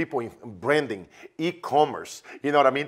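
A man speaks with a Brazilian accent in an animated tone. Behind him the background is quiet. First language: Portuguese. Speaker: business coach. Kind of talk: promotional interview chat. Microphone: lapel.

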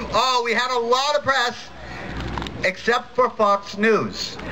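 A man speaks in a raised, projected voice at an extremely high pitch, his tone energetic. Noticeable background noise runs underneath. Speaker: atheist activist speaker. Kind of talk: rally speech. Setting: stage with audience. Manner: animated; energetic crowd-rousing, jokey. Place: stage. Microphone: pa.

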